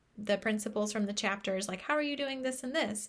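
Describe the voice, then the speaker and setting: A woman speaks in a normal speaking voice at medium pitch. Her pitch varies in an ordinary way. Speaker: book club leader. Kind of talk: casual pre-recorded talk to viewers. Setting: pre-recorded video.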